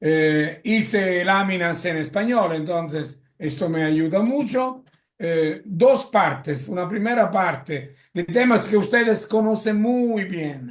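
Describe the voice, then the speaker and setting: A man with an Italian accent talks at a high pitch and a very slow pace. His intonation is lively. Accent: Italian-tinged Spanish. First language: Italian (speaking Spanish). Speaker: lecturer on drug policy. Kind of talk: lecture. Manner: halting.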